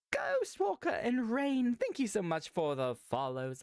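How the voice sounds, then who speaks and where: A man speaks at a fairly slow pace in a dry, close recording with no echo. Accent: American. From United States. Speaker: streamer. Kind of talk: casual live-stream chat.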